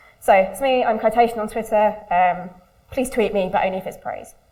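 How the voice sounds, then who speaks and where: There is audible room echo as a woman talks at a fairly high pitch with ordinary pitch variation. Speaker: user researcher. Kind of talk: conference talk. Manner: fast.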